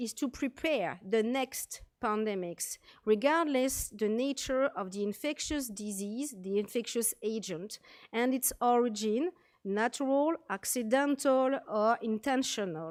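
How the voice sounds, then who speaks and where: At a very slow pace and with lively intonation, a woman speaks with a French accent on a very clean recording with a silent background and a dry, close sound with no echo. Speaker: military medical officer. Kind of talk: conference presentation.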